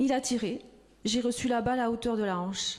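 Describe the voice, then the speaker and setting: A woman with a high voice. Her tone is dark and mellow. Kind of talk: reading of a witness testimony.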